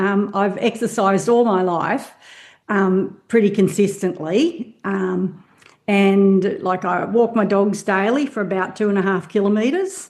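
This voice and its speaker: A woman speaks with an Australian accent at a medium pitch. Her pitch varies in an ordinary way against a quiet background. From Australia, Hawkesbury Valley west of Sydney. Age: 60s. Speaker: semi-retired nutritionist, hiker. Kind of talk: podcast interview.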